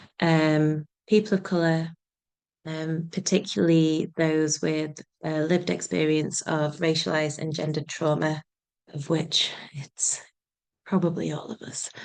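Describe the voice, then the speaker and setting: In a Yorkshire accent, a woman speaks with a very deep, low pitch at a fairly slow pace, using fairly even intonation and long, frequent pauses. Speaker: nature writer and community group founder. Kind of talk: panel introduction.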